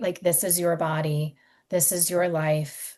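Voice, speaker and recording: In a quiet background, a woman with an American accent speaks in a fairly low, somewhat breathy voice with ordinary pitch variation. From US Mid-Atlantic, Maryland near DC. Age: 40s. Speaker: podcast host. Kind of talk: interview, personal storytelling.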